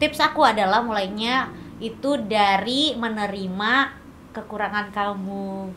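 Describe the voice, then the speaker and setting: Shrill and at a fairly slow pace, a woman speaks with ordinary pitch variation over noticeable background noise and audible room echo. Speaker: content creator and perfume entrepreneur. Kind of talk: podcast interview. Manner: casual, chatty.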